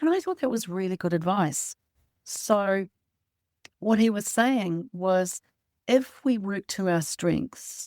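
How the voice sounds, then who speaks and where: Speaking at a very slow pace, a woman has a medium pitch and ordinary pitch variation in a New Zealand accent. The sound is dry and close, with no echo. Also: very clean recording, silent background. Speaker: podcast co-host and publisher. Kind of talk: podcast interview.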